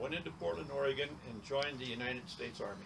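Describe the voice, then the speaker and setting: A man with an American accent speaks at a moderate pace and a medium pitch. The room echoes audibly, and background noise is noticeable. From Wyoming, US. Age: 80s+. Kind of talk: interview. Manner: halting.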